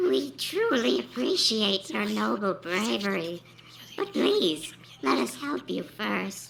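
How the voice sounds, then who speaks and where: In a put-on character voice, a female-sounding speaker talks raspily at a fairly low pitch and a fairly slow pace over clear background noise. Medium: read story. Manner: deferential, pleading.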